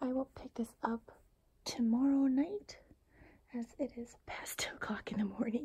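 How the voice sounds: At a fairly slow pace, a woman speaks with a high pitch, ordinary pitch variation, a dark, mellow tone and a husky, rough edge.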